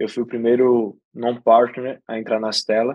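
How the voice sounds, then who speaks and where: With a northeastern Brazilian accent, a man talks at a medium pitch and a moderate pace. His intonation is monotone and flat, and the sound is dry and close with no echo. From Brazilian Northeast, Aracaju. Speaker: venture capital investor. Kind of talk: podcast interview.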